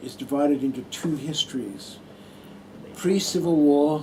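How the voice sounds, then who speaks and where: With an American accent, a man talks at a moderate pace in a fairly high voice, with noticeable background noise behind him. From Australia, Adelaide. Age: 60s. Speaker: retired nurse and Buddhist monk giving a talk. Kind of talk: personal talk to an audience. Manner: hesitant, with many fillers.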